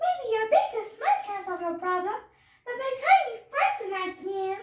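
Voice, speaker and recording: Putting on a squeaky character voice, a woman talks at a moderate pace in an extremely high pitch. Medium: read story.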